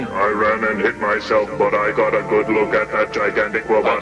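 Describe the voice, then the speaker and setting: Using a put-on character voice, a man speaks at a moderate pace against loud background noise. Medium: fan dub. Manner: blunt.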